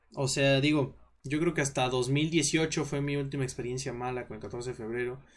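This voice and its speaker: Speaking in a Mexican accent, a man keeps his fairly high pitch in fairly even intonation. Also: moderate pace. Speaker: podcast host. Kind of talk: casual chat. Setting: live stream.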